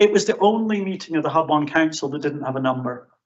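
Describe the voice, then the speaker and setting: Speaking at a fairly quick pace, a man with a fairly high pitch talks with a Scottish accent. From Scotland. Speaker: professor. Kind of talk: conference presentation. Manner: hesitant, many fillers.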